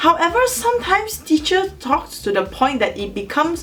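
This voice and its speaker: A woman's pitch swings very widely as she talks at a moderate speed over noticeable background noise. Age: 20s. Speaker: university student. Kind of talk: educational talk to camera.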